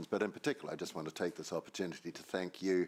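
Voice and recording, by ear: A man's put-on character voice, very deep and low, croaky, at a very fast pace.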